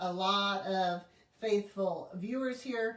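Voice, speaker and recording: Noticeable background noise sits under a voice with ordinary pitch variation. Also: woman. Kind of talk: live sales stream. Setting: livestream at home. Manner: casual, chatty.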